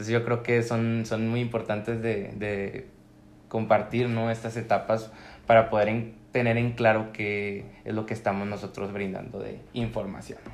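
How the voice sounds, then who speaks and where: Audible room echo surrounds a man speaking at a fairly slow pace in a medium pitch with monotone, flat intonation. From Mexico, La Laguna region (Coahuila). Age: 20s. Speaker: law student and mental health activist. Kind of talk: casual chat.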